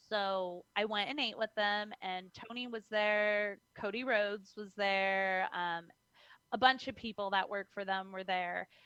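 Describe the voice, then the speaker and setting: The voice has a bright, sharp tone and ordinary pitch variation, moving at a fairly slow pace in a dry, close sound with no echo. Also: woman. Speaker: professional wrestler. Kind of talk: interview.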